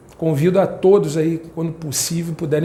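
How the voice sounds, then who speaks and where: A man's high-pitched voice, fairly quick, with ordinary pitch variation and audible room echo. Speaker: spiritist lay speaker. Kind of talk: spiritual talk to congregation. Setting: prayer house, in front of audience. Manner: fast.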